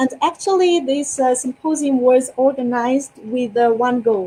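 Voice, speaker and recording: A woman speaks in a high voice with a Russian accent, her pitch moving in an ordinary way at a fairly slow pace. Noticeable background noise runs under the recording. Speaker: youth leader and public speaker. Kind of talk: interview.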